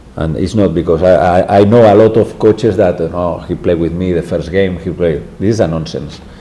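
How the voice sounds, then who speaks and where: A man speaks at a moderate pace with a Spanish accent, his pitch very deep and low with ordinary variation. Room echo is audible, and background noise is noticeable. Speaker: football head coach. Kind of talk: press conference. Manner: halting.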